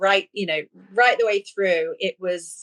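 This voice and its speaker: The woman's voice sits at a fairly high pitch and a moderate pace. The sound is dry and close with no echo. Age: 60s. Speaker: therapy client. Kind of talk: interview. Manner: halting.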